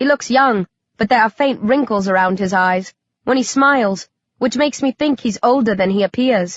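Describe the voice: Quiet surroundings and plain reading aloud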